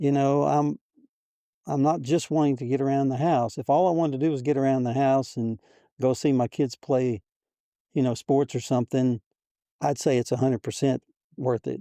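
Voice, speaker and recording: Against a quiet background, a man speaks at a medium pitch and a moderate pace with fairly even intonation. His tone is dark and mellow, and his pauses are long and frequent. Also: dry, close sound with no echo. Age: 70s. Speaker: triathlete. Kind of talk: interview answer.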